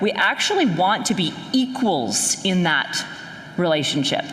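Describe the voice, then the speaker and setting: A woman with a Canadian accent speaks fairly slowly with very wide pitch swings, audible room echo and noticeable background noise. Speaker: sales strategy expert, conference speaker. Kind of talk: keynote talk. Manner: animated.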